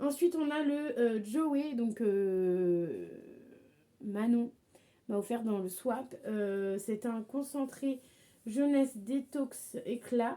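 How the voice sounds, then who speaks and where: Very slowly and with long, frequent pauses, a woman speaks in a fairly high voice with a dark, mellow tone and lively intonation. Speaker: beauty vlogger. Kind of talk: product review vlog. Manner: halting.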